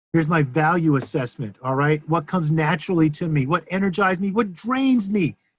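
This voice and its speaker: A man with a fairly high pitch and lively intonation, hardly any pauses between words. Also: fairly quick pace. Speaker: software reviewer, agency owner. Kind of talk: software review. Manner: loud.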